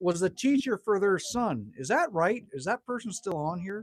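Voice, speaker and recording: The speaker has a Canadian accent and an animated tone at a moderate pace. The pitch swings very widely. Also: man. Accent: Canadian accent, like North Dakota. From Manitoba, Canada. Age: 50s. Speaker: livestreamer. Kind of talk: casual chat. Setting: livestream at a cabin.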